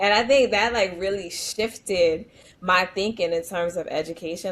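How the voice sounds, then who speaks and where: With a New York accent, a woman speaks at a medium pitch. Her pace is moderate and her intonation fairly even. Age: 40s. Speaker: educator. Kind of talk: podcast interview.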